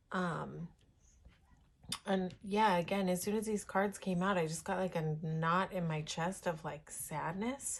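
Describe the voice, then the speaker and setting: Her somewhat breathy, medium-pitched voice moves at a fairly slow pace with fairly even intonation as the woman speaks. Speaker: tarot reader. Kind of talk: tarot reading. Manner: giggles while talking; halting, many fillers.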